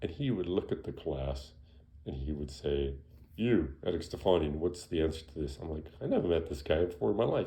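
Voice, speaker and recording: With vocal fry and a very deep, low pitch, a man speaks at a fairly quick pace and varies his pitch an ordinary amount. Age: 60s. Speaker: physician. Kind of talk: casual health talk. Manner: conversational, with many fillers.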